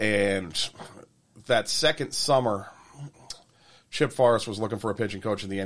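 The pace is very fast from this male speaker. Behind him, all is quiet. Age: 40s. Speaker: baseball pitching coach. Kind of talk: casual chat. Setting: studio.

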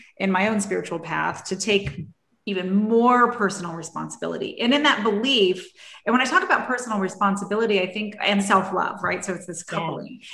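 A woman with a normal speaking voice talks at a fairly quick pace and a medium pitch, with ordinary pitch variation. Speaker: podcast host. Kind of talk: casual interview chat.

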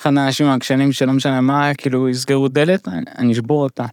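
A man speaks at a fairly quick pace in a fairly high pitch, with an ordinary speaking voice. The recording is very clean, with a silent background and a dry, close sound with no echo. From immigrant to Israel. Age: 30s. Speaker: stand-up comedian living with Huntington's disease. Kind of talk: podcast interview, personal story.

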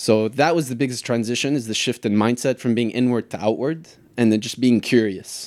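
A man with a medium pitch talks at a very fast pace with fairly even intonation in a very clean recording with a silent background. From Lebanon. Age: 30s. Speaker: soccer coach and former pro goalkeeper. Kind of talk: casual interview.

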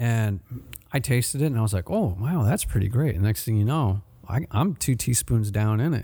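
A man with a medium pitch and a dark, mellow tone talks at a moderate pace, with lively intonation, a somewhat breathy quality and very even loudness. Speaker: podcast host, marketing manager. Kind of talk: casual interview chat. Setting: in-store studio, recorded at a shop. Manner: upbeat, friendly.

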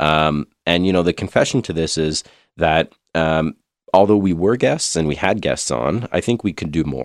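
A man with a Canadian accent and a very deep, low pitch, ordinary pitch variation and a moderate pace, on a very clean recording with a silent background and a dry, close sound with no echo. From Ontario/Quebec, Canada. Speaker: podcast co-host. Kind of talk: casual chat.

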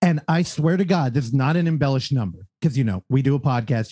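The voice is somewhat breathy and moves at a very fast pace. Its intonation is lively. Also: man, quiet background. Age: 30s. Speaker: podcast host. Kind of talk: casual chat.

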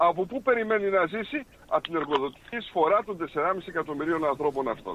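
A man's voice with very wide pitch swings at a moderate pace over noticeable background noise. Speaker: caller. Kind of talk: casual chat.

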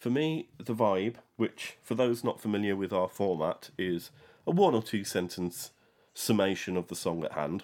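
A man with an ordinary speaking voice and a fairly low pitch talks at a moderate pace with lively intonation. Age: middle-aged. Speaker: music podcast host, superfan. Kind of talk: casual chat.

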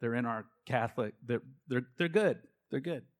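This pristine recording has a completely silent background. On it, a man talks at an average speed, his pitch rising and falling in a normal way. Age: 40s. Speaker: lay speaker at church gathering. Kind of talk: talk to a church group. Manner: animated.

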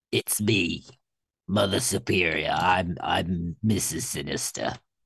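Very slowly, a raspy, low-pitched put-on character voice plays out in a Cockney accent. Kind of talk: put-on reading voice for a comic character.

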